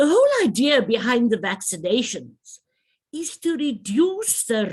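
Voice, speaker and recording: A woman's somewhat breathy voice at a very slow pace, with very wide swings in pitch. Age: 60s. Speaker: trade association president. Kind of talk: public health briefing address. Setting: virtual media briefing.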